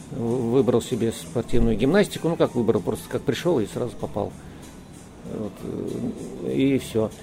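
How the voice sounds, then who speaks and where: Over noticeable background noise, a man with a medium-pitched voice speaks at a fairly slow pace with lively intonation. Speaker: cosmonaut. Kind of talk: interview.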